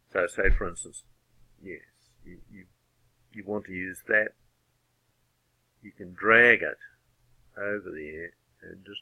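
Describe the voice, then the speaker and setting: Here a man speaks with a New Zealand accent. He talks at a fairly slow pace. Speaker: AutoCAD user and tutorial maker. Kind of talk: software tutorial narration. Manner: casual, hesitant.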